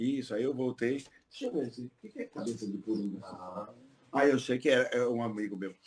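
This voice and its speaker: In an ordinary speaking voice, a man talks fairly quickly at a medium pitch, his pitch varying in an ordinary way while his loudness swings widely. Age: 50s. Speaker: polyglot tour guide. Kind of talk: podcast interview.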